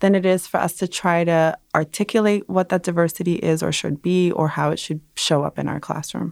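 A plain, everyday voice with an American accent speaks at a moderate pace. The recording is very clean, with a silent background and a dry, close sound with no echo. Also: woman. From Brooklyn, New York (emigrated from Dominican Republic). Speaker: education professor and researcher. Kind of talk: interview.

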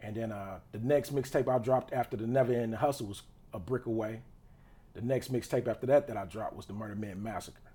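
This speaker talks very fast in a dark, mellow, somewhat breathy tone, with fairly even intonation but big swings in loudness. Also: man, medium pitch for a man. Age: 20s. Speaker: entrepreneur and rapper. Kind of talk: casual chat. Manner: halting, many fillers.

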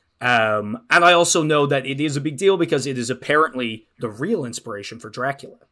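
On a very clean recording with a silent background, a man with an Irish accent speaks at a fairly quick pace with hardly any pauses, his fairly high-pitched voice bright and sharp in tone, with lively intonation. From Ireland. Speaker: podcast co-host and actual-play performer. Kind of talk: casual chat.

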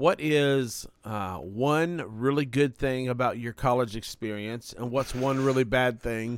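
A man talks at a fairly slow pace with hardly any pauses. He has an ordinary speaking voice at medium pitch with ordinary pitch variation. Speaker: podcast host. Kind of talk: casual chat.

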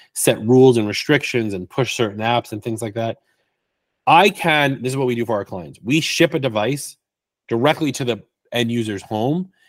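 In a very clean recording with a silent background, a man with a plain, everyday voice speaks at a fairly quick pace with lively intonation. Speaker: IT consultant and Apple expert. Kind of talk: casual interview chat. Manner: playful, joking.

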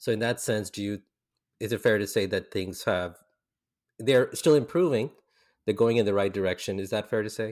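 A man with an American accent and a fairly low pitch speaks at a fairly quick pace with long, frequent pauses and ordinary pitch variation, on a very clean recording with a silent background. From grew up in India, Philippines and the US. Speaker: podcast host. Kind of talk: casual interview chat.

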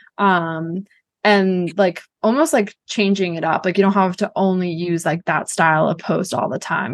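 A woman's ordinary speaking voice, fairly low in pitch, with ordinary pitch variation. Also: quiet background. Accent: American. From Boston, US. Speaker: marketing agency CEO. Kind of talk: interview. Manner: casual, many fillers.

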